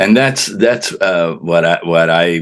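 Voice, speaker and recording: Here a man speaks with a very deep, low pitch at a very slow pace. His intonation is lively. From Colorado (Pueblo), born in Cuba. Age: 70s. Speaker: author, former mayor. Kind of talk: interview. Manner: halting, many fillers and repetitions.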